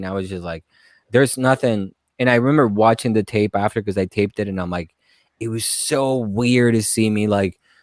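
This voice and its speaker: A man with a Spanish accent speaks at a fairly quick pace, medium pitch and ordinary pitch variation. The sound is dry and close with no echo, a very clean recording with a silent background. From Colombia. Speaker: stand-up comedian. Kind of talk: casual podcast interview. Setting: live-streamed podcast.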